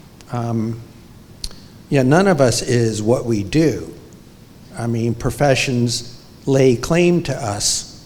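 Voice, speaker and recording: Heard with audible room echo, a man with an American accent and medium pitch speaks at a very slow pace with long, frequent pauses. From New York City. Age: 70s. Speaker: photographer. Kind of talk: onstage interview. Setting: museum library with audience. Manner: halting.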